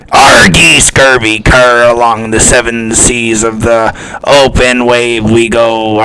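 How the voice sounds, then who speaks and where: A man's put-on character voice at medium pitch, monotone and flat, delivered at a fairly slow pace over clear background noise. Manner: gruff, theatrical.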